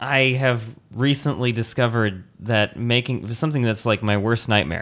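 This man has a plain, everyday voice at a medium pitch. He keeps a moderate pace, fairly even intonation and very even loudness. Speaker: podcast host. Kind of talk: casual chat. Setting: indoors at home.

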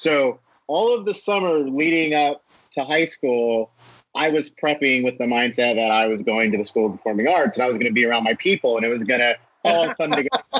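A man with an American accent has a normal speaking voice at medium pitch and a fairly quick pace. His intonation is lively and his loudness very even. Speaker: film producer. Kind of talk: casual interview.

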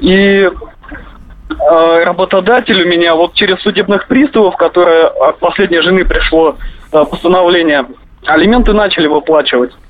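A man speaks at a high pitch and moderate pace, with long, frequent pauses and noticeable background noise. His loudness stays very even, with ordinary pitch variation. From Russia, Kemerovo. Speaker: radio caller. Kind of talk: phone-in question.

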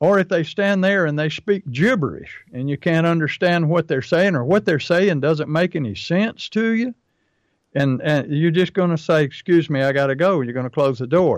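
A man's plain, everyday voice at a fairly high pitch, with ordinary pitch variation and a moderate pace, over a quiet background. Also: dry, close sound with no echo. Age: 60s. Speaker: pest control marketing coach and podcast host. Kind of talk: casual business podcast chat.

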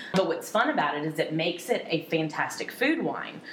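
Amid noticeable background noise and audible room echo, a woman speaks with very deep, low pitch. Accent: American. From central North Carolina. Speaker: tasting room manager. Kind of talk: casual interview chat. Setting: on location at a vineyard.

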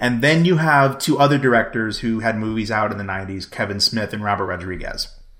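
A man's plain, everyday voice at medium pitch, fairly quick pace with hardly any pauses, and ordinary pitch variation. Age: 20s. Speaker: podcast co-host. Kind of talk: casual chat.

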